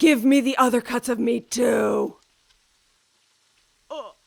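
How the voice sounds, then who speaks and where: Using a put-on character voice, a woman speaks high in pitch and at a fairly slow pace. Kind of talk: manga fan dub. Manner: weak, groaning.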